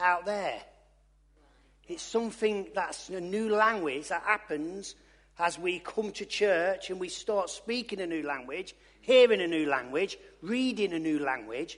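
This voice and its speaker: In an East Midlands accent, a man with a high pitch speaks at a fairly slow pace with lively intonation and long, frequent pauses against a quiet background. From Loughborough, English East Midlands. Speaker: lay preacher. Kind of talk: sermon. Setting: church.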